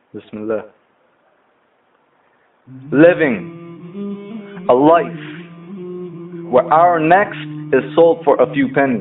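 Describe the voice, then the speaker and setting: A man's high-pitched voice, very slow and full of long, frequent pauses, with lively intonation over background music. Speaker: spoken word poet. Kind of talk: spoken word poetry performance.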